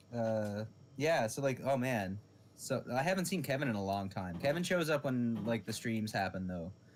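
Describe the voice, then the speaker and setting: With lively intonation, a man speaks at a moderate pace and a medium pitch. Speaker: podcast co-host. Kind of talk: casual chat. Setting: live stream. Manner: loud.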